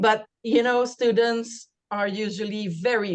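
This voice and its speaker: A woman speaks in a Quebec accent at a very slow pace. Her pitch varies in an ordinary way. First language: French. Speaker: university program staff. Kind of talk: information session presentation.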